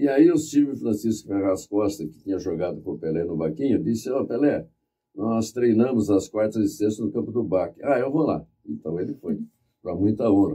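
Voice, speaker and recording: With a dark, mellow tone and fairly low pitch, a man talks at a moderate pace with lively intonation. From Brazil, Bauru, São Paulo state. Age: 80s+. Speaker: author and journalist. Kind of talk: interview, reminiscing.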